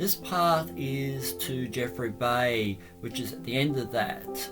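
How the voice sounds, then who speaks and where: A man's medium-pitched voice with an Australian accent and lively intonation, over background music. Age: old. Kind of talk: casual travel vlog narration. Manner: hesitant, halting.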